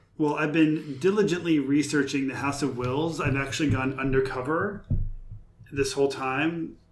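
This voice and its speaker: A man's fairly high voice at a moderate pace, with fairly even intonation, audible room echo and noticeable background noise. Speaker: podcast co-host. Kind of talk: casual chat. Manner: loud. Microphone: far from the mic.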